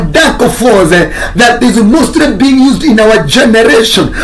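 With light background noise behind him, a man talks at a very slow pace in an extremely high pitch. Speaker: pastor. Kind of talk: sermon. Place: home room. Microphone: phone near.

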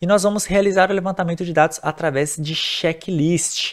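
Against a quiet background, a man with a high pitch and ordinary pitch variation speaks at a moderate pace. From Brazil. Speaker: nurse and nursing teacher; nursing teacher. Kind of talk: lecture. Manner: casual, conversational. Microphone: webcam.

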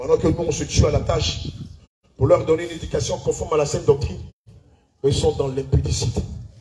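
Though his pace is fairly quick, the man leaves long, frequent pauses. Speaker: pastor leading church service. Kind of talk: sermon. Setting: church. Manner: animated.

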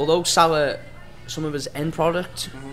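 The speech has fairly even intonation, with clear music playing in the background. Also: man. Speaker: podcast host or panelist. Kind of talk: football discussion, pub chat. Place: bar. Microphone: studio mic.

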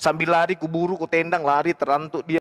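A man speaks with a fairly high pitch. His pace is moderate, and the background is quiet. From Indonesia. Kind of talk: religious debate. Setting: livestream video call. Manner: animated. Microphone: video call.

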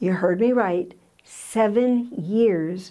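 Against a quiet background, a woman speaks with a dark, mellow tone and ordinary pitch variation. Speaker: Bible teacher. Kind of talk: Bible teaching talk. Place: studio. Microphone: lapel.

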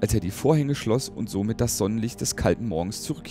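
This is reading aloud. It is done in a natural voice.

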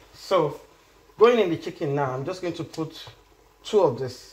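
Lively intonation and a slightly mellow tone come through at a fairly slow pace, with audible room echo. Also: woman, low pitch for a woman.

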